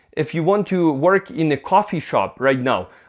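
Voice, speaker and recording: With a Ukrainian accent, a man talks at a moderate pace with lively intonation. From Ukraine. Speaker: vlogger. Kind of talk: casual vlog monologue. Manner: halting, frequent fillers.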